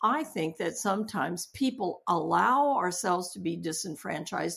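Vocal fry and very wide pitch swings, captured on a very clean recording with a silent background. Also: woman. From US, Japanese-American family. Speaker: hospital chaplain and seminary professor. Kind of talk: interview.

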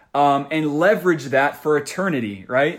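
The delivery has an animated tone with ordinary pitch variation. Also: man. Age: young. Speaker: podcast host and marketer. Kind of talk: casual interview chat.

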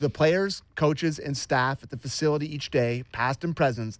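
Heard on a very clean recording with a silent background, a man talks fairly quickly in an unremarkable speaking voice with ordinary pitch variation. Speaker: radio producer and host. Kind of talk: casual sports radio chat.

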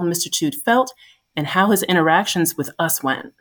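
A woman's plain, everyday voice at medium pitch with an American accent, ordinary pitch variation and a moderate pace, on a very clean recording with a silent background. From US Northeast, New Jersey. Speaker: veterinarian, pharma medical lead. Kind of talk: podcast interview.

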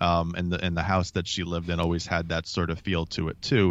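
A man speaks in a very deep, low voice. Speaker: podcast co-host. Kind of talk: casual chat.

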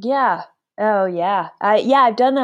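In a normal speaking voice, a woman with an American accent talks at a moderate pace with a fairly high pitch and ordinary pitch variation against a quiet background. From Alaska. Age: 30s. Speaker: endurance cyclist. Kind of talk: interview.

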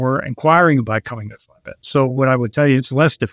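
A man with an American accent talks at a moderate pace and fairly even intonation. The sound is dry and close, with no echo. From Pittsburgh, western Pennsylvania. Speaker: trucking company president. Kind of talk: interview. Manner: halting, many fillers.

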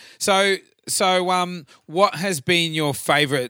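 Over a silent background in a very clean recording, a man speaks with a bright, sharp tone. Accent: Australian. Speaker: podcast host and tribute band singer. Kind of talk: casual chat. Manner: halting.

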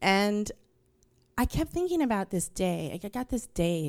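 Speaking at a moderate pace, a woman with a New York accent has a dark, mellow tone. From New York, Queens. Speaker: storyteller. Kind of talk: stage storytelling; casual interview. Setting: stage with audience.

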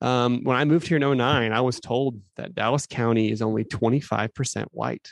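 Using an ordinary speaking voice, a man with an American accent talks at a medium pitch with ordinary pitch variation. His pace is moderate, with hardly any pauses. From Phoenix, Arizona. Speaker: podcast host, youth minister. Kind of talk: casual interview.

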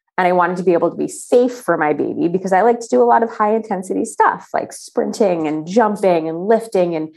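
The tone is dark and mellow, moving at a fairly quick pace. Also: woman. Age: 30s. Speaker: travel journalist and athlete. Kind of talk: casual chat.

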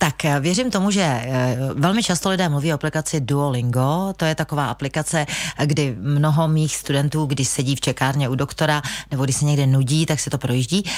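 A woman with a very deep, low pitch, ordinary pitch variation, very even loudness and a fairly quick pace. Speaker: language school owner and English teacher. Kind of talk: radio interview. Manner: halting, many filler sounds.

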